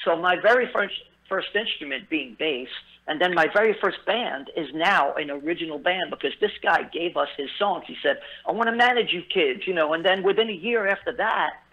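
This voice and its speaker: With a Brooklyn accent, a man talks at a high pitch and a moderate pace. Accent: New York (Brooklyn). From New York City, Brooklyn (Bensonhurst). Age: 50s. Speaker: musician. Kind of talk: interview. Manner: halting, many fillers.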